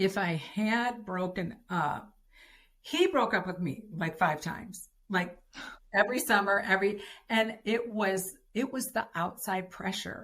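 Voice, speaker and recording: A woman's voice with an American accent, an ordinary speaking voice of medium pitch, with ordinary pitch variation at a fairly slow pace. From Detroit, US Midwest. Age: 60s. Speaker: podcast guest, wife of a former pro football player. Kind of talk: interview, personal testimony.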